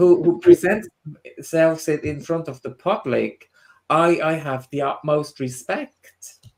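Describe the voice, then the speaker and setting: Someone with a Swiss German accent speaks at a fairly slow pace over music in the background. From Switzerland, Swiss German part. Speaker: spiritual medium and tutor. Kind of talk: casual chat. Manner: halting.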